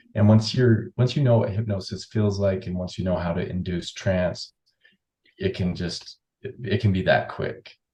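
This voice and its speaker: A somewhat breathy man's voice, fairly low in pitch, dark and mellow, with a calm, relaxed tone, ordinary pitch variation and a moderate pace. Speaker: hypnotherapist. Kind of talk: interview.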